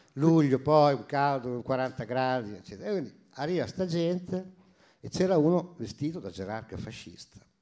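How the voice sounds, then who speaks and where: A man speaks at a moderate pace with lively intonation. His pitch is fairly high and his tone dark and mellow. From Romagna, Italy. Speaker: former mayor and teacher. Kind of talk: casual chat. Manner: animated.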